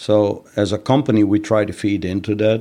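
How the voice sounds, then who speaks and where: His voice fairly low and his tone dark and mellow, a man speaks with monotone, flat intonation. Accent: Dutch. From Netherlands. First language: Dutch. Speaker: master painter and finishing trainer. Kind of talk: interview.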